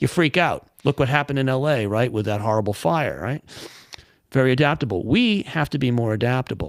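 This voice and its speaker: An animated man speaks at a fairly quick pace, his medium pitch rising and falling in lively intonation. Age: 60s. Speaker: marketing business owner. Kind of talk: casual chat.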